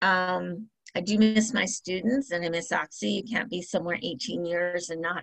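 Using an unremarkable speaking voice, a woman with an American accent talks at a moderate pace and medium pitch with ordinary pitch variation. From US West Coast, San Diego County. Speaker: college financial aid director. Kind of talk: interview.

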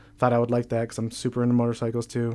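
On a very clean recording with a silent background, a man with an American accent talks at a medium pitch. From northern New York State, Plattsburgh. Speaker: accountant. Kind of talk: casual chat. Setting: studio.

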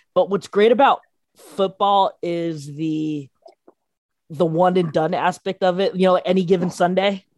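The sound is dry and close with no echo, and a woman speaks at a medium pitch in a plain, everyday voice. Her pace is fairly slow and her intonation fairly even. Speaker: podcast producer, sports fan. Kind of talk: casual chat.

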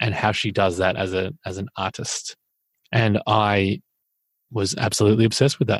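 Speaking at a fairly quick pace with an Australian accent, a man uses a fairly low pitch and ordinary pitch variation in a very clean, dry, close recording with a silent background and no echo. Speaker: podcast co-host. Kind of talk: casual chat.

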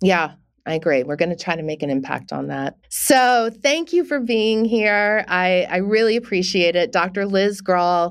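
In an ordinary speaking voice, a woman of medium pitch talks with lively intonation and hardly any pauses on a very clean recording with a silent background. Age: 50s. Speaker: podcast host. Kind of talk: casual chat; scripted narration.

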